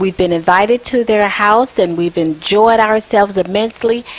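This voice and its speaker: A woman's animated, medium-pitched voice at a moderate pace, with ordinary pitch variation and noticeable background noise. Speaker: TV talk show host. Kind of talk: casual TV talk show chat. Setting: guests' home.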